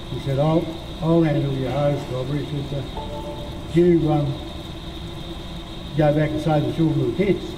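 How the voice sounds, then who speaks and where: Against noticeable background noise, a man speaks with monotone, flat intonation. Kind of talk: interview answer. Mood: reflective, matter-of-fact. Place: studio.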